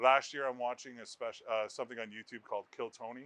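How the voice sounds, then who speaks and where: A man with a medium pitch speaks at a fairly quick pace in a flat monotone. His tone is bright and sharp, and the sound is dry and close with no echo. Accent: Canadian. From Ontario, Canada (Brampton/Mississauga near Toronto). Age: 30s. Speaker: stand-up comedian. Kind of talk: interview.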